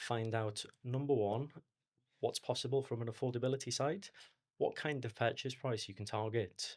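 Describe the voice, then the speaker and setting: In a Liverpool accent, a man talks at a moderate pace and medium pitch with fairly even intonation, on a very clean recording with a silent background. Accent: Liverpool (Scouse). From Liverpool, England. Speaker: mortgage advisor. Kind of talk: podcast interview.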